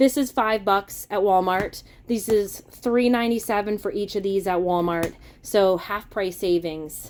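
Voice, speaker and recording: Medium-pitched woman with an American accent, fairly slow pace and ordinary pitch variation. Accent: Massachusetts accent, shows when excited. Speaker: grocery haul vlogger. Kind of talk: casual product haul walkthrough. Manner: casual, chatty.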